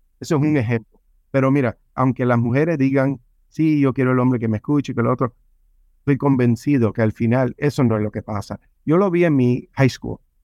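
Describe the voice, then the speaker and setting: A man with a normal speaking voice talks at medium pitch and a moderate pace with ordinary pitch variation, in a dry, close sound with no echo. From Cuba, raised in San Francisco. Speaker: life coach and author. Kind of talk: podcast interview.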